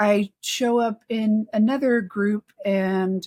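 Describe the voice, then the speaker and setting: Her voice is somewhat breathy and fairly high, and this woman speaks in a monotone, flat way over a dry, close sound with no echo. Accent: American. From Texas. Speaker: research operations community leader. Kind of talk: casual chat.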